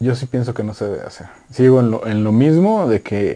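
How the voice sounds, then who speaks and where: A man's medium-pitched voice carries a dark, mellow tone and ordinary pitch variation. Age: 30s. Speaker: running podcast co-host and photographer. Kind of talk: casual chat.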